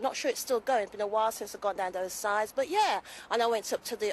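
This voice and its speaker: A woman speaks with a Birmingham accent and lively intonation. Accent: Brummie. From Birmingham, England. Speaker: DJ. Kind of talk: casual interview.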